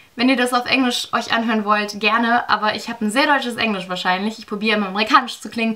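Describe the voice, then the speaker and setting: A very fast delivery with a strong German accent, fairly even intonation, and noticeable background noise. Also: woman. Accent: thick German. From Germany. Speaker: vlogger. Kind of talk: storytime vlog. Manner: casual, filler-heavy.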